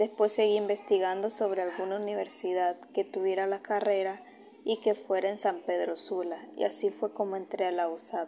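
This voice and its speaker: In a dark, mellow tone, a woman speaks at a medium pitch and moderate pace with monotone, flat intonation. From Honduras, Olanchito. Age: 20s. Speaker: university student. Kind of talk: personal autobiography narration.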